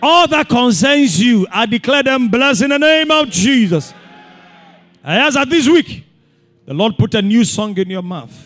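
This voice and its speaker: With music in the background, a man speaks at an extremely high pitch and a moderate pace, his intonation lively. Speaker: pastor. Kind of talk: fervent prayer and blessing. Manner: fervent, declarative; rhythmic, repetitive cadence.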